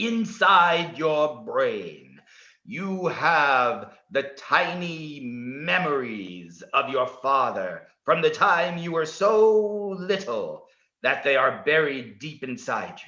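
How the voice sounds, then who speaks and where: In a put-on character voice, a man speaks at a high pitch and a very slow pace. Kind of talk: hypnotic guided meditation. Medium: stage play. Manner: formal, measured, no contractions.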